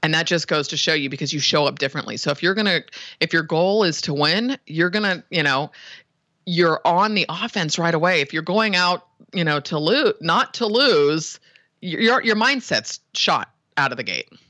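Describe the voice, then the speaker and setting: Someone with a Californian accent talks in an animated tone at a moderate pace over a quiet background. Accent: Californian American. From San Francisco Bay Area. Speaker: web design business owner. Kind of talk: interview.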